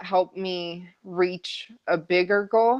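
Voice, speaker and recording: With an American accent, this woman's pitch varies in an ordinary way. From Las Vegas, US. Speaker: sports broadcaster. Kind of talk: interview. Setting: at home on the couch. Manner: soft-spoken; halting.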